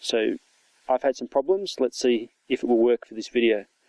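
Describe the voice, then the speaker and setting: The sound is dry and close with no echo as a man speaks in an Australian accent. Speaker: toy reviewer. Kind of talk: product review. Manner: casual, hesitant with fillers.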